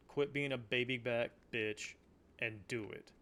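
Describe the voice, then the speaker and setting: A man speaks with a Southern US accent at a medium pitch. His pace is very slow, with ordinary pitch variation. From US South. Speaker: local game store owner. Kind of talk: casual monologue. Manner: animated.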